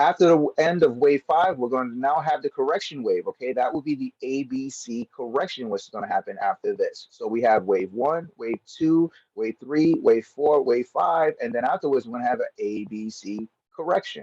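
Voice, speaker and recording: A man talks at a moderate pace in a fairly high voice with lively intonation and hardly any pauses, the sound dry and close with no echo. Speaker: trading educator. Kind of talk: tutorial. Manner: casual, conversational; stumbling, self-correcting.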